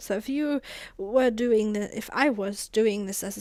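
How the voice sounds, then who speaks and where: A woman speaks at medium pitch with a German accent and ordinary pitch variation. The recording is very clean, with a silent background. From Germany. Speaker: gaming YouTuber. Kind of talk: gameplay voiceover commentary. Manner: casual, halting with fillers.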